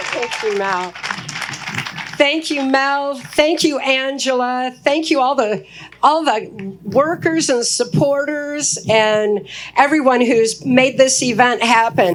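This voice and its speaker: With an American accent and a high voice, a woman talks very slowly with lively intonation over noticeable background noise. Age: 60s. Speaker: activist speaker. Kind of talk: keynote speech.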